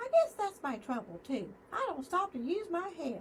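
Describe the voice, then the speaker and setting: An extremely high, squeaky put-on character voice is raised and projected. Its pitch swings very widely over clear background noise. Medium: read story. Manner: eager, impulsive.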